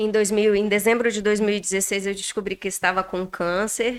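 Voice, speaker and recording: At a fairly slow pace, a woman of medium pitch talks in an ordinary speaking voice. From Rondônia, Brazil. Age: 40s. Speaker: bariatric surgery patient. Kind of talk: podcast interview.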